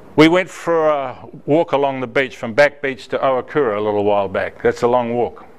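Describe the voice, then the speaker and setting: Lively intonation marks a man's fairly high voice in a New Zealand accent. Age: 80s+. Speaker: mentor volunteer. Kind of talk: speech to a club.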